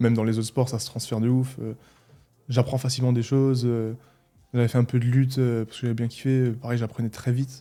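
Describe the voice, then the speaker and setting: A man's medium-pitched voice with a slight Alsatian accent, monotone and flat, at a very fast pace over music in the background. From Alsace, France (Mulhouse). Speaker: athlete and physiotherapist, podcast guest. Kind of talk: casual interview conversation. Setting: in-person podcast recording in Dubai.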